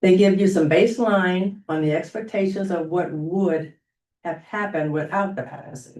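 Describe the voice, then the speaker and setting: At a moderate pace, a woman speaks in a dark, mellow tone at medium pitch with ordinary pitch variation. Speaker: public commenter at board meeting. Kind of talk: prepared public comment. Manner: loud.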